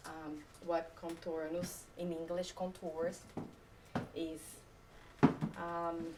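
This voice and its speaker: A woman with a non-native accent speaks very slowly in a fairly low, flat monotone, pausing long and often amid noticeable background noise. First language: not English. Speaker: photographer. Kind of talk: talk to a live audience. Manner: hesitant, many fillers.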